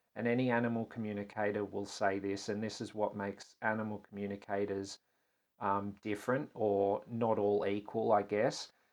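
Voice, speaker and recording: In an Australian accent, a man with a fairly low pitch speaks at a moderate pace with monotone, flat intonation. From Australia (Tasmania). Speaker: animal communicator. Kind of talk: interview conversation.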